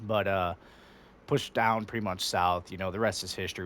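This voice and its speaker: A man's very deep, low voice in a flat monotone, on a very clean recording with a silent background. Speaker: gamer and soldier. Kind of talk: tutorial. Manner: fast; casual, halting with fillers.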